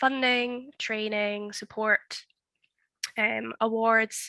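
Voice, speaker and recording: A woman with a Scottish accent speaks at a very slow pace in a bright, sharp tone with fairly high pitch, the sound dry and close with no echo against a quiet background. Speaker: project officer and webinar host. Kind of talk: webinar presentation. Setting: online webinar.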